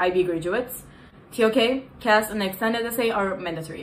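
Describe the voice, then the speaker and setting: A woman at a fairly quick pace, with audible room echo and noticeable background noise. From Turkey. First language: Turkish. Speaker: content creator. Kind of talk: casual tutorial vlog. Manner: animated, casual.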